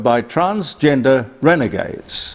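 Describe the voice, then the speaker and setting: Over noticeable background noise, a man speaks at a very slow pace in a fairly high pitch, his voice making very wide pitch swings. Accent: Australian. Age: 80s+. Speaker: broadcaster and commentator. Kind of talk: casual commentary. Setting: studio. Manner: halting.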